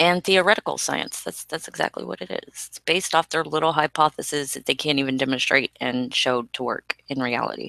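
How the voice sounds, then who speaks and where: Speaking with hardly any pauses, a woman uses a very deep, low pitch with vocal fry and ordinary pitch variation, in a dry, close sound with no echo. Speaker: co-host of a flat earth hangout. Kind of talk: casual online discussion. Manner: halting, many fillers.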